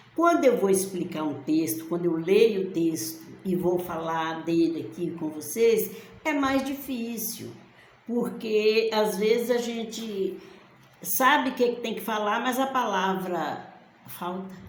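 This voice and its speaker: Over noticeable background noise and audible room echo, a woman speaks very slowly with lively intonation. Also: medium pitch for a woman. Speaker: bible teacher. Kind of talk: bible study talk. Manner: halting, pausing for words.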